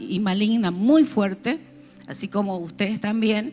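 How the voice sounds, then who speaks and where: A woman's fairly high voice at a fairly slow pace, with ordinary pitch variation and music in the background. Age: 60s. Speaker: pastor. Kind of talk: sermon.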